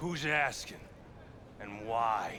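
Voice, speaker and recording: A man puts on a character voice at medium pitch. Background noise is clearly heard. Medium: video game. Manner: gruff, mocking.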